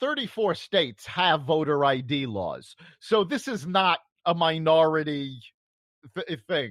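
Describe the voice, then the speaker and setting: On a very clean recording with a silent background, a man with a normal speaking voice talks at a fairly slow pace, his fairly high pitch shaped by lively intonation. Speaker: radio co-host. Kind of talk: political talk show discussion.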